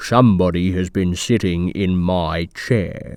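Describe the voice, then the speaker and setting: A man puts on a character voice, pitched very deep and low. He delivers it at a fairly slow pace. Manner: gruff, gravelly.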